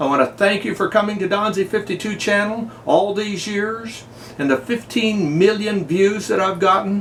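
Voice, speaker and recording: Through noticeable background noise, a man speaks at a fairly slow pace in a high pitch. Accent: American. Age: 70s. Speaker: YouTuber. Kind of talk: personal video message. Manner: folksy, conversational.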